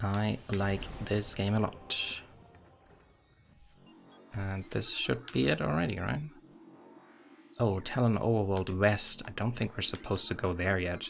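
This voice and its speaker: Music plays in the background as the speaker talks at a fairly slow pace with a German accent. The pitch varies in an ordinary way, with long, frequent pauses. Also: man, fairly low pitch for a man. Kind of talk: casual game streaming commentary.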